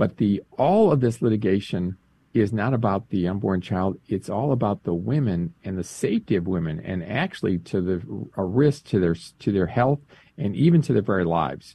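Speaking at a moderate pace with lively intonation, a man has an ordinary speaking voice and a fairly low pitch. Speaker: director of a pro-life advocacy group. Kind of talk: interview. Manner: explanatory, informative.

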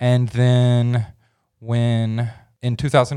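A man with an American accent speaks very slowly in a very clean recording with a silent background. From Oklahoma and Memphis, Tennessee. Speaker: student and cleaning business owner. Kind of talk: casual interview, life story.

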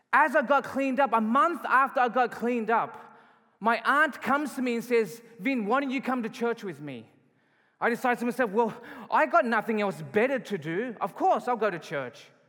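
A man with an Australian accent speaks in a raised, projected voice at an extremely high pitch. His pace is moderate and his intonation lively. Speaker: pastor. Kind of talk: sermon. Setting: church.

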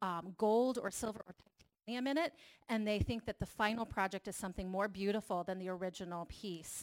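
A woman speaks at a medium pitch with ordinary pitch variation, in an unremarkable speaking voice. The sound is dry and close, with no echo. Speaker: church leader and mental health advocate. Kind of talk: testimony.

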